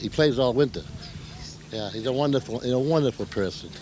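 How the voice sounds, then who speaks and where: A man speaking over noticeable background noise. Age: 60s. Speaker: senior softball player. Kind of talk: interview.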